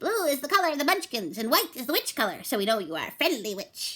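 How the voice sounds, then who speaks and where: Putting on a character voice, a woman talks at a very fast pace and a high pitch with very wide pitch swings. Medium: read story. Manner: grave, courteous.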